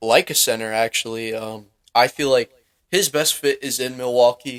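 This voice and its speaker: In a dry, close recording with no echo, a man talks at a medium pitch. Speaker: basketball podcast host. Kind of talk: casual podcast commentary. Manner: halting, many repeated words.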